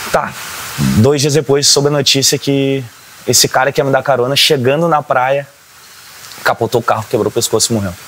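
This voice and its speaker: Over noticeable background noise, a man at a fairly high pitch speaks at a fairly quick pace with fairly even intonation and long, frequent pauses. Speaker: religious drummer and singer. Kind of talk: documentary interview testimony.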